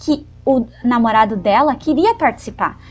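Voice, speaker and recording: The woman's voice sits at a high pitch. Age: 20s. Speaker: podcast co-host. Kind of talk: casual chat.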